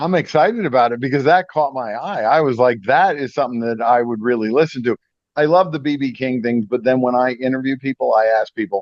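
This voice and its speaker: Speaking at a fairly quick pace, a man with an American accent has an ordinary speaking voice at medium pitch with ordinary pitch variation. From upstate New York. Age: 60s. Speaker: radio host. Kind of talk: casual interview.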